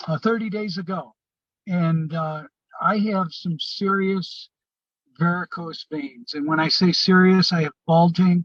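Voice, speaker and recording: A man speaks at a fairly slow pace in a high voice, his intonation fairly even, with a dry, close sound and no echo. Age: 60s. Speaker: product user giving testimony. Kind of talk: testimony. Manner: halting, many fillers.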